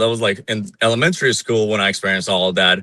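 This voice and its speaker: Speaking with an Iranian accent, a man uses a bright, sharp tone and ordinary pitch variation. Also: very clean recording, silent background. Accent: Iranian (Persian) accent in English. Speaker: Iranian dissident. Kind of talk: interview.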